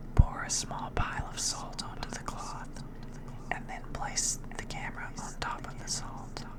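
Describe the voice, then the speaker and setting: Someone whispers at a fairly slow pace over noticeable background noise. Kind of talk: ASMR whispered horror story reading. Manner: whispered.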